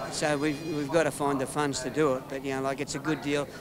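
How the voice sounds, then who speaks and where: Fairly high-pitched man with an Australian accent, amid noticeable background noise. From Australia, Melbourne. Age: 50s. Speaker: retired motorcycle racer, father of rider. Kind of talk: interview. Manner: halting.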